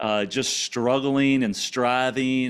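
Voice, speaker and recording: A medium-pitched man's voice with an American accent. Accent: Louisiana country and Cajun with Texas twang. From Louisiana, small farming town. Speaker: podcast guest sharing faith and business story. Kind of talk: interview testimony.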